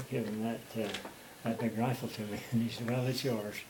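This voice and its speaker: A man at medium pitch and a fairly quick pace, with monotone, flat intonation, audible room echo and noticeable background noise. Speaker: war veteran. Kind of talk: oral history interview. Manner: fast; halting, many fillers.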